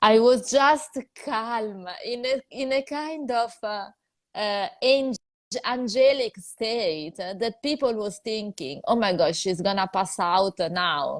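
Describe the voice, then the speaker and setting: Speaking with an Italian accent, a woman has a fairly high pitch and lively intonation. Her pace is very slow. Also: very clean recording, silent background. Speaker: psychologist and video host. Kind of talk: interview chat. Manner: hesitant, many fillers.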